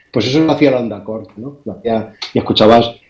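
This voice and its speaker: The man's voice has a dark, mellow tone. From Spain. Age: 60s. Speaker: amateur radio operator. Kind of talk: interview storytelling. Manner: halting, repeats words.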